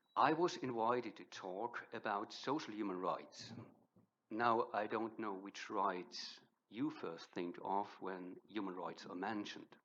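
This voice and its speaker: Fairly low in pitch, a man speaks with a German accent and ordinary pitch variation. His pace is fairly slow. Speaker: professor. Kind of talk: lecture.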